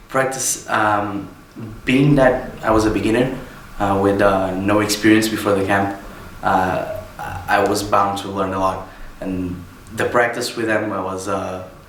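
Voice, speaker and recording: The speech is fairly slow, with fairly even intonation and long, frequent pauses. Noticeable background noise and audible room echo fill the recording. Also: man, fairly low pitch for a man. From Portugal, Porto. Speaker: wrestling trainee. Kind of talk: interview. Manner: halting, many fillers.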